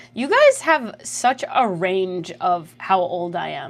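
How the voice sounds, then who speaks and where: A woman's voice has an animated tone. Her pitch swings very widely. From Canada. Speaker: streamer. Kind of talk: casual livestream chat, reading chat messages. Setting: livestream.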